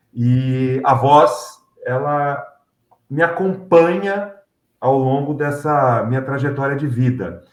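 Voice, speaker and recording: Amid audible room echo, a man with a fairly high pitch speaks at a very slow pace with ordinary pitch variation. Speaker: announcer and MC. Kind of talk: interview.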